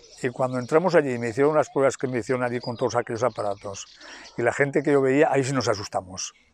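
The man talks at a very fast pace with ordinary pitch variation. The sound is dry, with no echo. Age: 60s. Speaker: athlete with a degenerative illness. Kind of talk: interview. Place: street. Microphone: lapel.

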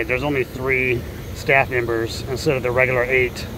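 A man is speaking with noticeable background noise. The sound is dry, with no echo. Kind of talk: casual vlog chat. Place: street. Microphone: phone near.

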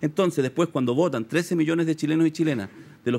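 A man talks with lively intonation. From Chile. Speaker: sociologist; guest. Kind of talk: political analysis interview. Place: studio.

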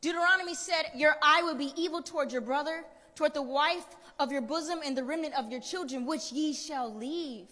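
A woman's raised, projected voice in an American accent, high-pitched, animated and passionate, at a fairly quick pace with ordinary pitch variation. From US. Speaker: spoken word poet. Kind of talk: spoken word poetry performance. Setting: stage with audience. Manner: animated, rhythmic, passionate delivery with rhetorical build-up; emphatic and preacher-like, urgent. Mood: urgent, preaching tone. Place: stage. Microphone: handheld.

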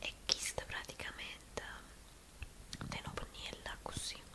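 A woman speaks. She is whispering. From Naples. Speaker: ASMR beauty creator. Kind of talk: ASMR makeup tutorial. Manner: whispered. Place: home room. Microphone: studio mic.

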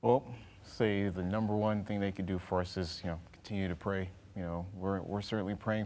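Fairly quick pace from a man with an American accent, a fairly low pitch and fairly even intonation. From Texas (Dallas); Texas. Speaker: flight instructor, former Navy pilot; flight instructor. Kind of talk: interview. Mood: calm, earnest. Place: studio.

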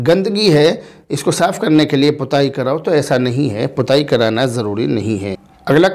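Over a quiet background, a man speaks at a fairly high pitch and a fairly slow pace. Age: 30s. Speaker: Islamic scholar answering viewer questions. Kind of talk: religious Q&A reading viewer comments. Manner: measured, formal. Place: studio. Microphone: lapel.

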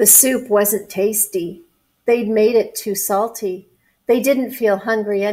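Unforced reading voice, background quiet.

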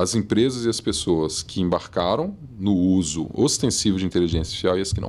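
With lively intonation, a man at a fairly low pitch speaks at a moderate pace. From Brazil, moved around (Santos, Salvador, abroad), settled in Minas Gerais; Minas Gerais, Brazil. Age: 40s. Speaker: marketing executive and professor; professor. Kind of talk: casual interview. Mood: relaxed, thoughtful. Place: studio. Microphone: studio mic.

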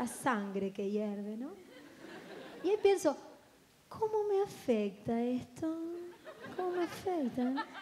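Crowd noise sits behind a woman speaking at a very slow pace, with long, frequent pauses. Her pitch is high and swings very widely. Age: 20s. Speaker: comedian. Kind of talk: stand-up. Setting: stage with audience. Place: stage. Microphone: handheld.

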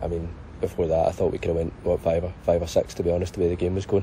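There's light background noise behind a man's dry voice with no echo. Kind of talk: interview answer. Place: stadium. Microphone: handheld.

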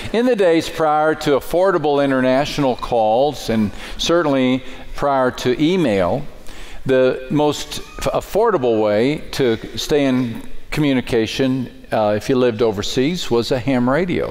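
Music plays in the background as a man talks at a fairly slow pace, keeping his loudness very even and his pitch variation ordinary. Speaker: preacher. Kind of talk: sermon. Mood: warm, humorous storytelling. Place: church. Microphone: headset.

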